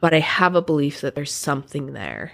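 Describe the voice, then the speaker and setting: This woman speaks at a moderate pace with an American accent. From Utah (Provo). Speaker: writer and writing teacher. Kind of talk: casual interview.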